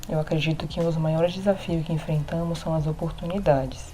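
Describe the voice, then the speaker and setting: The somewhat breathy voice comes with audible room echo. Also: woman. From Brazil, Rondônia (Porto Velho). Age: 20s. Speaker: visual artist and teacher. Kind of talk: recorded testimony.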